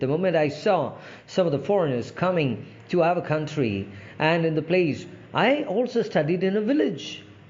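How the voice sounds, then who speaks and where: A man talks at a moderate pace with lively intonation, and audible room echo surrounds his voice. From India, Andhra Pradesh. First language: Telugu. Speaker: English language trainer. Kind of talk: informal talk to camera. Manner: halting, many fillers.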